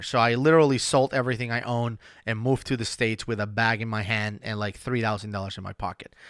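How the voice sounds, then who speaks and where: Speaking very fast with a Spanish accent, a man uses a bright, sharp tone, fairly even intonation and a medium pitch. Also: very clean recording, silent background. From Venezuela. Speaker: podcast host and CRM consultant. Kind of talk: casual solo podcast talk. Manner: hesitant, many fillers and restarts.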